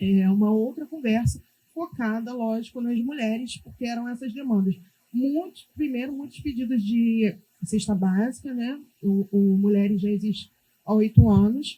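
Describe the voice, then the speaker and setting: Somewhat breathy woman, fairly high pitch, dark, mellow tone, ordinary pitch variation and a moderate pace. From Brazil, Rio de Janeiro favela. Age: 30s. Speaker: community activist, founder of women's group. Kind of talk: panel discussion.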